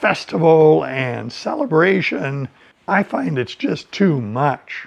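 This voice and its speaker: A man with a General American accent, fairly high pitch, lively intonation and a very slow pace. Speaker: English teacher. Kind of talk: educational talk for language learners. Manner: slow, clear.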